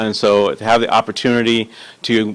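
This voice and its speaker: Talking at a fairly quick pace, a man uses a fairly low pitch and a monotone, flat intonation. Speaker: city manager candidate. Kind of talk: job interview. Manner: halting; fast.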